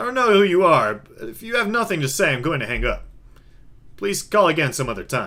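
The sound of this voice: A man performs a put-on character voice with big pitch swings and a fairly high pitch. His tone is bright and sharp, and his pace is fairly quick.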